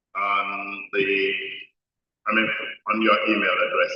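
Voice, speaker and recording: Audible room echo surrounds a man's speaking voice. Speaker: development expert, conference speaker. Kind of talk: conference speech.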